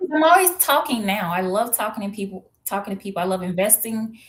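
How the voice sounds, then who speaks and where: Somewhat breathy, a woman with an American accent speaks at a moderate pace and medium pitch. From US Midwest, St. Louis, Missouri. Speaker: identity coach. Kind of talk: interview.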